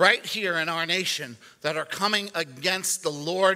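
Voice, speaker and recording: A man uses a raised, projected voice with a bright, sharp tone and ordinary pitch variation. He keeps a moderate pace against a quiet background. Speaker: pastor. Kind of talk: sermon. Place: church.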